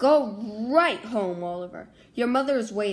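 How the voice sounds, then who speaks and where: In a gruff, put-on character voice, a woman speaks at a fairly high pitch and a moderate pace. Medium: read story. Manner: gruff, threatening.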